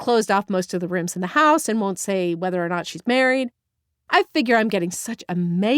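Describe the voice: Quiet background behind plain reading aloud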